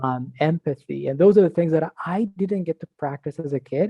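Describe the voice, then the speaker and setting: Fairly quick, somewhat breathy speech from a man, its pitch varying in an ordinary way. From Iran. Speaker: product director and university instructor. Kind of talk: casual interview chat.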